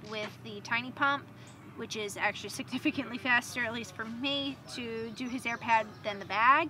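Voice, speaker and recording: A woman's high voice at a moderate pace, dry with no echo, clear music in the background. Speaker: motorcycle travel vlogger. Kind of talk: casual vlog chat. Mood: cheerful, playful. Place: tent.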